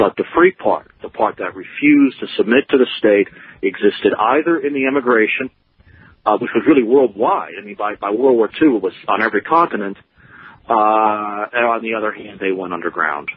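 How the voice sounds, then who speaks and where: A man with an American accent talks at a fairly quick pace, with a medium pitch and lively intonation. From New Jersey. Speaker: writer and historian. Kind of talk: radio interview. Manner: halting.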